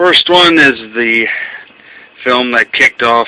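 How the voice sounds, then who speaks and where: A man's medium-pitched voice at a fairly slow pace, with ordinary pitch variation and noticeable background noise. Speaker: film collector video reviewer. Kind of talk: casual video review. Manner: halting, with stutters and fillers.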